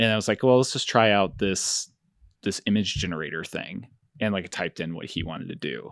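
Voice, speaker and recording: Over a quiet background, a man with a plain, everyday voice and an American accent talks fairly quickly at a fairly low pitch with ordinary pitch variation. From Finger Lakes, New York. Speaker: photographic artist and educator. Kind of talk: interview conversation.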